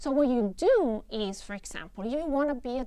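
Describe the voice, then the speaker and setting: In an Italian accent, a woman speaks at a high pitch and a moderate pace, the sound dry with no echo and the background quiet. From Italy. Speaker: professor. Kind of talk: lecture. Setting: studio. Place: stage. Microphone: lapel.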